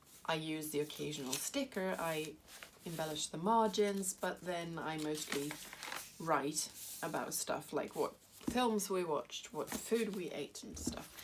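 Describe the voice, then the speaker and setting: Over noticeable background noise, a woman with a British accent speaks at a fairly slow pace in a fairly low pitch with lively intonation. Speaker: crafting vlogger. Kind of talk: tutorial. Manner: halting.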